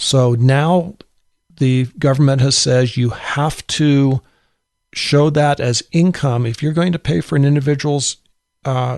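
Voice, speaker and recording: Recorded dry and close with no echo over a quiet background, a man talks at a fairly slow pace and medium pitch. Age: 60s. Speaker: insurance broker. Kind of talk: webinar presentation. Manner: hesitant, with many fillers.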